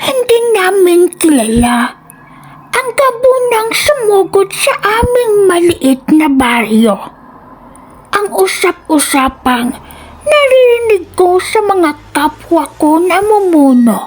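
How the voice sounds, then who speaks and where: Using a put-on character voice, a woman speaks at a very slow pace in an extremely high pitch, with very wide pitch swings. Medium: read story. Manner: fearful, pleading.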